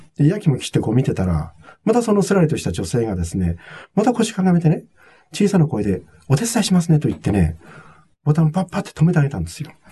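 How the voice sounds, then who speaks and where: A man's very fast speech, fairly high in pitch, with very wide pitch swings, vocal fry and a dark, mellow tone. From Japan, Nagano (Togakushi). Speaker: hospitality consultant and author. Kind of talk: interview.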